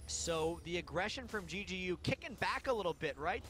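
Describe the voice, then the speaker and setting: With music playing behind him, a man speaks at a moderate pace in an upbeat tone. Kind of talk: esports color commentary and analysis. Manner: conversational, explanatory; upbeat, uses sports analogies.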